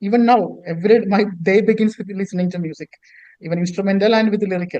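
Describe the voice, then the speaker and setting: Talking at a very fast pace, a man has a high pitch, a dark, mellow tone and fairly even intonation. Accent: Keralan. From India, Kerala. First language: Malayalam. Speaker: author and poet. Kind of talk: interview. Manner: halting, many repetitions.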